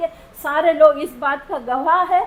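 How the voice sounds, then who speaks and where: Over noticeable background noise, a woman with a non-native accent speaks at an extremely high pitch. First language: not Hindi (speaking Hindi). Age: old. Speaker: patient. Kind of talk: testimony. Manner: emotional.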